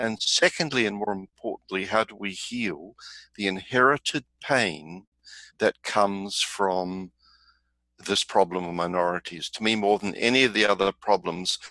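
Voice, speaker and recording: An unremarkable speaking voice, a man's fairly low voice moves at a moderate pace with ordinary pitch variation against a quiet background, the sound dry and close with no echo. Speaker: webinar participant. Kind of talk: discussion comment.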